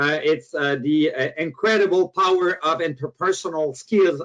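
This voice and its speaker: A man speaks at a moderate pace with a Quebec accent. His pitch sits fairly high for a man, with ordinary variation. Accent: French Canadian accent in English. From Quebec, Canada. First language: French. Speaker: motivational speaker and author. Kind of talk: webinar presentation. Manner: halting, with frequent fillers.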